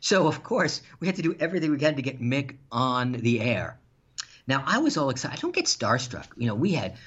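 A man's normal speaking voice with lively intonation at a fairly quick pace. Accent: American. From New York, Long Island. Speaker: radio executive and playwright. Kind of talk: interview.

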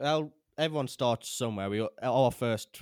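This man with a British accent has ordinary pitch variation, recorded dry and close with no echo, very clean with a silent background. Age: 20s. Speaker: podcast host and filmmaker. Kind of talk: interview. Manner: halting.

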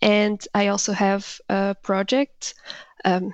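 A woman speaks in a Portuguese accent. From Portugal. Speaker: writer and founder of an interview website. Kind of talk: coaching conversation.

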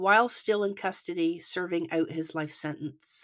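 A woman's medium-pitched voice with a slight Canadian accent and ordinary pitch variation. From Canada. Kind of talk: scripted true crime narration; casual chat. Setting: remote recording across countries.

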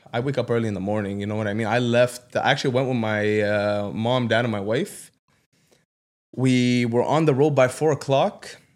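In an unremarkable speaking voice, a man talks at a moderate pace with medium pitch and fairly even intonation. The recording is very clean, with a silent background. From Canada, Ottawa South. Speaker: entrepreneur. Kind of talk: casual chat. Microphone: too far from the mic.

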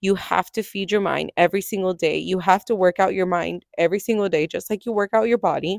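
In an American accent, a woman talks at a very fast pace with hardly any pauses. Her medium pitch and fairly even intonation come through in a dry, close sound with no echo. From California. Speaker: podcast host and personal trainer. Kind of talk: solo podcast monologue. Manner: conversational, casual.

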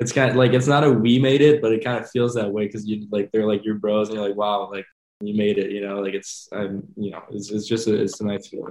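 A man speaks at a fairly quick pace, his pitch fairly low. His tone is slightly mellow, with a slight French accent.

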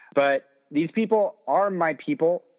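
A man speaks at a fairly slow pace with an American accent. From central Illinois, US Midwest. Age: 20s. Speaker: political candidate. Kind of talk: interview.

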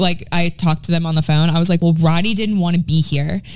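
Against noticeable background noise, a woman with a fairly low pitch speaks with fairly even intonation. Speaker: podcast co-host, realtor. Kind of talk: casual chat.

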